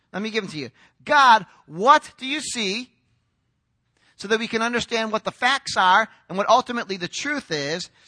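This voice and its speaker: In a raised, projected voice, a man speaks with lively intonation and a bright, sharp tone. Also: dry, close sound with no echo. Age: 40s. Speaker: pastor. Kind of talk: sermon.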